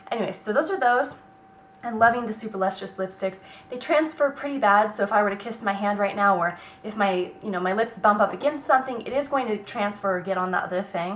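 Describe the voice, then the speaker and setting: Amid noticeable background noise, a woman with a medium pitch speaks at a fairly quick pace in an animated tone, her pitch varying in an ordinary way. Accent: American. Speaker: beauty vlogger. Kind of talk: product review vlog. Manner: fast.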